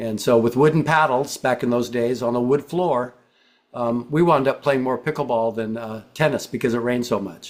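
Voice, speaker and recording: An ordinary speaking voice from a man, medium in pitch, with ordinary pitch variation at a moderate pace. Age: 60s. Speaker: pickleball player, retired PE teacher. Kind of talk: interview.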